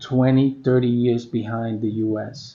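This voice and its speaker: A man speaks at a medium pitch. His intonation stays flat and monotone. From New York, the Bronx (born Puerto Rico). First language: Spanish. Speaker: vlogger. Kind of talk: reflective monologue.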